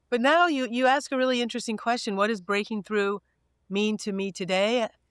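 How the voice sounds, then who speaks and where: Recorded very cleanly against a silent background, a woman with a plain, everyday voice talks at a fairly quick pace, her fairly high pitch showing ordinary variation. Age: 60s. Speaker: corporate communications executive. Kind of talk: interview.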